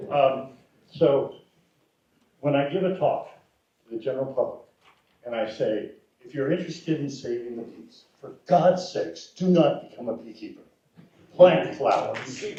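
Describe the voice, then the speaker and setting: Speaking at a moderate pace, a man pauses long and often, his loudness swinging widely amid audible room echo. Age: 70s. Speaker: former university extension specialist. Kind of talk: panel discussion.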